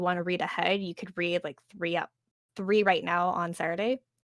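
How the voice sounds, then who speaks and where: On a very clean recording with a silent background, a woman speaks at medium pitch in a dry, close sound with no echo. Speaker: podcast co-host. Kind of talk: casual chat. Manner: fast.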